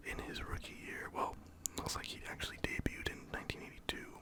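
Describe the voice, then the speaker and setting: Whispering at a moderate pace, a man comes through noticeable background noise. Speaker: ASMR creator and baseball fan. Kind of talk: casual talk to camera, ASMR. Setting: home recording, lo-fi. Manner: whispered, soft-spoken.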